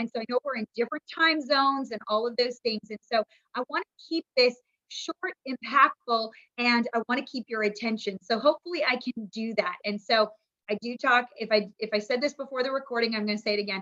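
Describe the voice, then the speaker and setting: A woman's high voice, energetic in tone, with ordinary pitch variation and a fairly quick pace. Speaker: business coach. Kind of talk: training webinar talk. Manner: fast.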